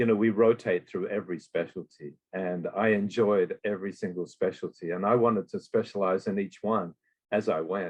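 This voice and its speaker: A man talks at a moderate pace in an Australian accent. His pitch is fairly low, with ordinary variation. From Western Australia. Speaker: emergency physician. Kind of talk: interview.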